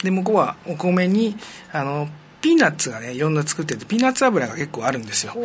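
Very fast speech with very wide pitch swings over noticeable background noise. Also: man, high pitch for a man. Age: 50s. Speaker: education advisor working in Myanmar. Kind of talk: casual interview.

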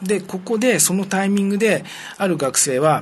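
A man's high voice with lively intonation. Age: 50s. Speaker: education advisor working in Myanmar. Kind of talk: casual interview.

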